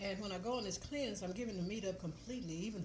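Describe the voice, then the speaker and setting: A woman talks very fast at a medium pitch with ordinary pitch variation. The recording carries audible room echo and noticeable background noise. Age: 80s+. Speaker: cooking channel host. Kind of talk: casual cooking tutorial. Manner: relaxed, with fillers.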